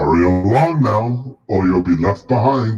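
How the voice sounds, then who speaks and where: A man's put-on character voice at a fairly low pitch. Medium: actual play. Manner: booming, theatrical.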